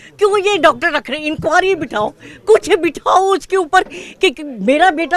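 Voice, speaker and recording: Extremely high-pitched female voice with ordinary pitch variation, a dry, close sound with no echo, and noticeable background noise. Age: 70s. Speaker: grieving mother. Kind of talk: emotional complaint to press.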